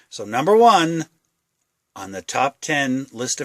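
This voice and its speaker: In a dry, close sound with no echo, a man talks with very wide pitch swings. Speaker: prepping channel host. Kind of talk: tutorial. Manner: casual, hesitant with fillers.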